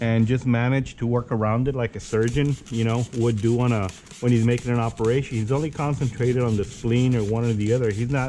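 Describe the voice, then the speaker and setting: The voice has a dark, mellow tone and monotone, flat intonation, moving at a fairly quick pace with hardly any pauses. Its loudness stays very even over light background noise. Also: man. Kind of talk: tutorial. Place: workshop. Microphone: phone near.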